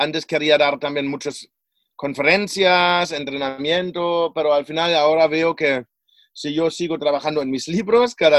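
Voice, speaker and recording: Speaking at a moderate pace in a German accent, a man has a fairly high pitch and ordinary pitch variation. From Germany. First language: German (speaking Spanish). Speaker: personal development coach and author. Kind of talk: interview.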